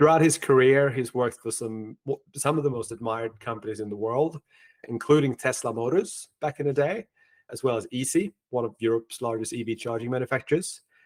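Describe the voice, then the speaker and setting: A man with a plain, everyday voice, medium pitch and ordinary pitch variation at a fairly quick pace, in a very clean recording with a silent background and dry, close sound with no echo. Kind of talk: podcast host introduction and interview.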